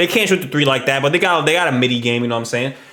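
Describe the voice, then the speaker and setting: An animated male voice amid noticeable background noise and audible room echo. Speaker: YouTube reaction streamer. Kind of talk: casual reaction commentary. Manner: fast.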